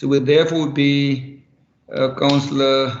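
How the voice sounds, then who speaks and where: Speaking with a South African accent at a fairly high pitch, a man is heard with audible room echo. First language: Afrikaans. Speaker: councillor. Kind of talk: council meeting debate.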